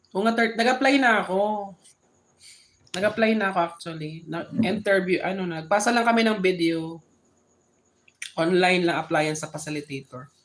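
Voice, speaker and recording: A woman speaks at a moderate pace and medium pitch, with ordinary pitch variation and long, frequent pauses. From Philippines, Bicol (Sorsogon). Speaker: live streamer. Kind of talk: casual chat. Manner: halting, with frequent restarts.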